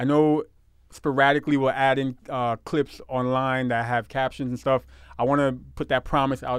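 A man with a New York accent at a medium pitch, moderate pace and monotone, flat intonation. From Brooklyn, New York. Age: 30s. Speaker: podcast co-host. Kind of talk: casual chat. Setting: livestream recorded at home.

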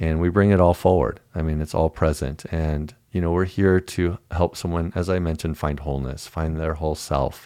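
Very deep, low male voice with a dark, mellow tone and an American accent, at a moderate pace, in a dry, close sound with no echo. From Dallas, Texas. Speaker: yoga teacher. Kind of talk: casual chat.

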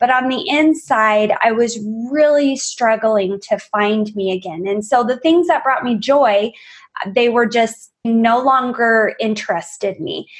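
A woman speaks with a fairly high pitch, an energetic tone and lively intonation. The background is quiet. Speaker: wellness coach. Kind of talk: interview. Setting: video call.

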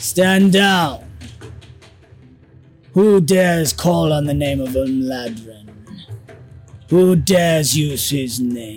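A man in a put-on character voice, fairly high in pitch and very slow, with faint music in the background. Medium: actual play. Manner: commanding, stern, zealous.

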